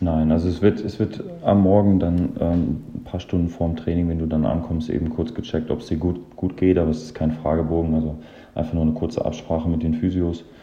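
A man's very deep, low, somewhat breathy voice, monotone and flat in intonation, at a fairly quick pace amid audible room echo. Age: 30s. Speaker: professional football goalkeeper. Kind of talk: interview. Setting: remote recording from home.

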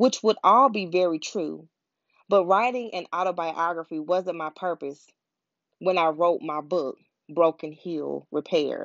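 In an American accent, a woman speaks fairly slowly and at a fairly low pitch, with ordinary pitch variation. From US South, Pensacola, Florida. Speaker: motivational podcast host. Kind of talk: scripted motivational monologue. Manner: animated.

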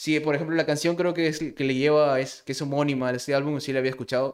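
A man speaks with a Peruvian accent. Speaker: podcast co-host. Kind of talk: casual chat. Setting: online voice call.

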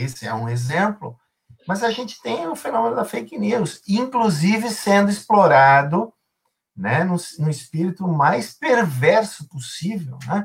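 With very wide swings in pitch, a man delivers his words at a fairly slow pace. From southern Brazil, Rio Grande do Sul. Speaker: philosophy and ethics professor. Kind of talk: interview on a live stream. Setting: live stream.

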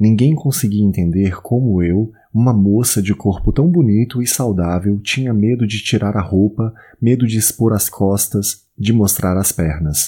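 On a very clean recording with a silent background, a man speaks at a fairly slow pace in an intense, theatrical tone that is dark and mellow, with very even loudness. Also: fairly low pitch for a man, ordinary pitch variation. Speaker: audiobook narrator. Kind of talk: dramatic literary narration, first-person confessional prose read aloud. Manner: intense, theatrical, emotionally charged, measured pauses.

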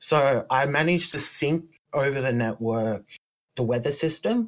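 Speaking in an Australian accent, a man has a medium pitch. His pitch varies in an ordinary way. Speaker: indie game developer. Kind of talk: casual chat.

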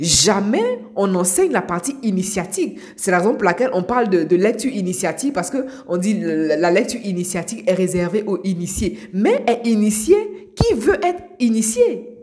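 In a room with audible echo and noticeable background noise, a woman of medium pitch speaks at a moderate pace with hardly any pauses. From Côte d'Ivoire, Abidjan. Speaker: life coach podcaster. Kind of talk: motivational monologue. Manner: halting, repeats words.

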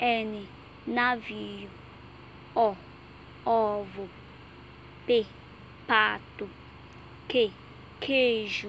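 Speaking very slowly with long, frequent pauses, a woman keeps a fairly high pitch in a monotone, flat intonation. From Nigeria. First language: English (speaking Portuguese). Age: 20s. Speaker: Portuguese language student. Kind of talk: reading aloud.

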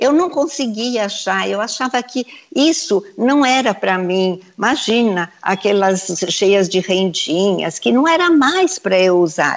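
A woman speaks at a medium pitch with very wide pitch swings. Her loudness stays very even. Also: fairly slow pace. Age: 70s. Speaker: fashion designer. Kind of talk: casual chat. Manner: animated.

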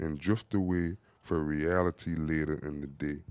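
In a dry, close sound with no echo, a man talks in an animated, upbeat tone. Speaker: podcast host. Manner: animated, upbeat, chatty; addresses listeners as "y'all" and slips in asides and slang.

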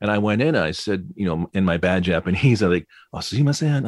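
In a dry, close recording with no echo and a silent background, very clean overall, a man with a normal speaking voice speaks at a moderate pace, his fairly low pitch carried by lively intonation. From US Midwest (Flint, Michigan). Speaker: voice-over narrator and radio DJ. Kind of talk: interview.

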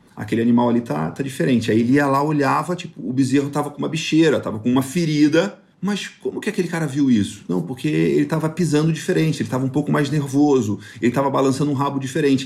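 This man's fairly high voice races along at a very fast pace. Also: ordinary pitch variation, hardly any pauses. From Rio de Janeiro, raised on a farm in northern Goiás. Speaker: podcast host, cattle rancher and agribusiness consultant. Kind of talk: casual monologue, personal storytelling.

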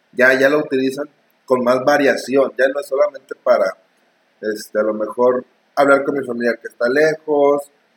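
With an ordinary speaking voice, a man of fairly high pitch talks at a moderate pace with fairly even intonation in a dry, close sound with no echo. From Mexico. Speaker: podcast co-host. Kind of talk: casual chat.

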